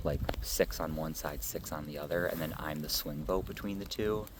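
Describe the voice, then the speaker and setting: A man varies his pitch in an ordinary way at a moderate pace, while audible room echo surrounds his voice. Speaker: reality game contestant. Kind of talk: confessional interview. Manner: loud.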